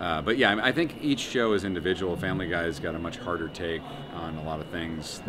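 A man's very deep, low voice in an American accent at a very fast pace, with noticeable background noise. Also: ordinary pitch variation. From United States. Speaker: voice actor, writer and comedian. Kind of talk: interview answer. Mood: relaxed, thoughtful. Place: hall.

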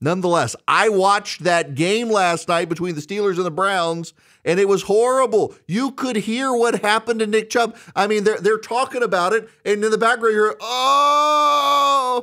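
A man talks in a raised, projected voice with a bright, sharp tone at a moderate pace. His pitch variation is ordinary, and the background is quiet. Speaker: commentator host. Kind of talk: commentary. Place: studio. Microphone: studio mic.

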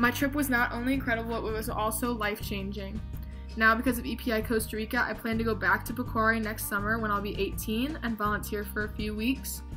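Clear music plays in the background while a woman speaks at a fairly quick pace. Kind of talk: prepared testimonial. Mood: earnest, heartfelt. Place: home room. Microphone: webcam.

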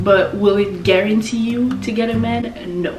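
A woman speaking at a fairly slow pace, with clear music in the background. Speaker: lifestyle YouTuber. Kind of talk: casual talk to camera. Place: home room.

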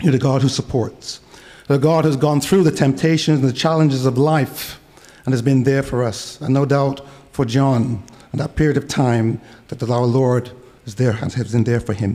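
A man's medium-pitched voice, dark and mellow, at a moderate pace with fairly even intonation

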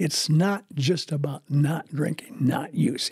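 Slow and slightly mellow, a man's fairly high voice has a husky, rough edge and ordinary pitch variation.

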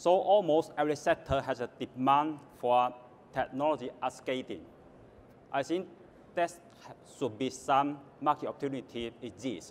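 A man with a Chinese accent speaks in a fairly high voice, leaving long, frequent pauses. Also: ordinary pitch variation, moderate pace. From Guangdong, southern China. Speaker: government official. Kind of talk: panel talk.

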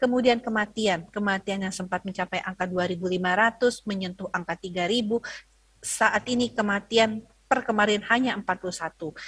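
A woman speaks at a fairly slow pace with fairly even intonation against a quiet background. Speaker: health ministry spokesperson; presenter. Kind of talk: lecture. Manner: hesitant, many fillers. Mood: earnest, cautionary. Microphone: video call.

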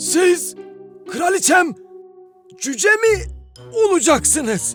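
Faint music plays in the background as a cartoonish character voice speaks at a very slow pace. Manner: obsequious, eager.

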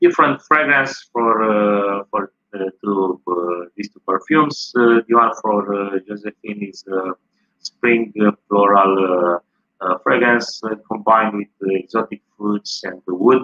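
Against a quiet background, a man with a Romanian accent speaks very slowly at a fairly low pitch, with ordinary pitch variation, big swings in loudness and long, frequent pauses. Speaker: tourist guide. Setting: live stream. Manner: halting, full of 'uh' fillers and repeated words; informative and earnest, reeling off dates, names and fragrance notes. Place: home room. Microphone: video call.

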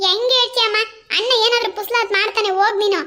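A squeaky, cartoonish character voice from a woman, extremely high in pitch, in a monotone, flat intonation at a moderate pace. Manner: dismissive, scheming.

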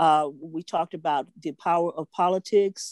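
A woman talks with a fairly low pitch and a dark, mellow tone. The sound is dry with no echo over a quiet background. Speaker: veteran journalist; presenter. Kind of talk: tribute speech. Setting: video call. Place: home room. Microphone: video call.

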